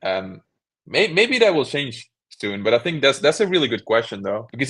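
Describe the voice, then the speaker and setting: In a Belgian accent, a man talks at a fairly quick pace against a quiet background. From Belgium. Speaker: cubing YouTuber. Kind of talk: interview.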